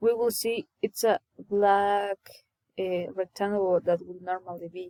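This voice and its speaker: A woman's medium-pitched, dark, mellow voice, fairly slow and flat in intonation, dry and close with no echo. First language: not English. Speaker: coding tutorial creator. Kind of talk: tutorial. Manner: halting.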